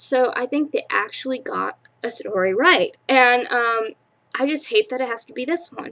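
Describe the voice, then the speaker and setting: Bright and sharp, a woman's raised, projected voice sits high in pitch, moving at a moderate pace with lively intonation and big swings in loudness. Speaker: vlogger, aspiring actress. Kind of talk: casual vlog monologue. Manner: halting, stuttering.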